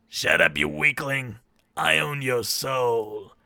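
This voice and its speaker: A man speaks in a put-on character voice at a medium pitch, raspy and very slow. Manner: menacing, evil.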